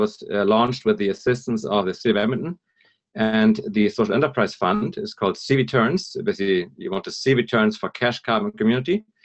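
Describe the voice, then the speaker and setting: A man with a German accent speaks fairly quickly at medium pitch, his pitch swinging very widely. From northern Germany, near Hamburg. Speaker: environmental consultant and speaker. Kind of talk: presentation. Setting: live broadcast talk. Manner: lively, humorous; hesitant, many fillers.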